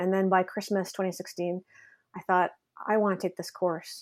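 In a Canadian accent, a woman talks at a very fast pace and medium pitch with fairly even intonation, on a very clean recording with a silent background. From Canada, Ontario. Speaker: novelist. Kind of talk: casual interview.

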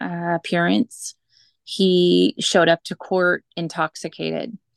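A woman's fairly low voice at a very slow pace with fairly even intonation, dry and close with no echo, over a quiet background. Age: 40s. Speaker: single mother sharing faith story. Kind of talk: testimony.

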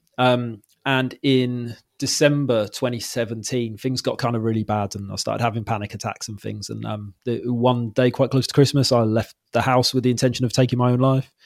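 Medium-pitched male voice with a Welsh accent, monotone, flat intonation, a fairly quick pace and hardly any pauses, on a very clean recording with a silent background. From Wales. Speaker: mental health podcast host. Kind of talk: casual chat.

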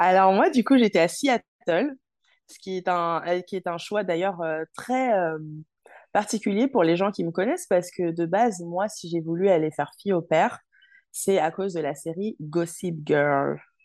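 A woman's fairly low-pitched, ordinary speaking voice at a fairly slow pace, with ordinary pitch variation, big swings in loudness, and a quiet background. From Paris suburbs, France. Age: 20s. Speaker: former hospital worker turned traveler. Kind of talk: interview.

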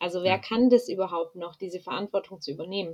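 Her voice is unremarkable, a woman at medium pitch speaking at a moderate pace. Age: 20s. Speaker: university student. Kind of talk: casual interview.

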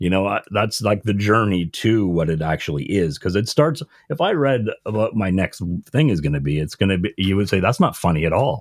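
A man talks at a fairly quick pace in a normal speaking voice. His pitch is fairly low, and his intonation is lively. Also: very clean recording, silent background. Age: 40s. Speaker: comedian. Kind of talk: casual chat.

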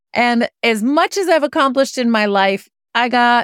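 A woman with an American accent speaks in a normal speaking voice, fairly high-pitched and at a moderate pace. The recording is very clean with a silent background, and the sound is dry and close with no echo. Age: 50s. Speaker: venture investor. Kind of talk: interview.

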